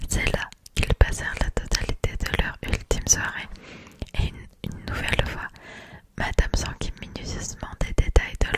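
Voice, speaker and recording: A woman's fairly slow whispering over noticeable background noise. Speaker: ASMR creator. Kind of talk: audiobook reading. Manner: whispered.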